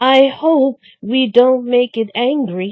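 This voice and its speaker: A woman uses a put-on character voice, high in pitch and delivered at a very slow pace. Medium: read story. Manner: nervous, stammering.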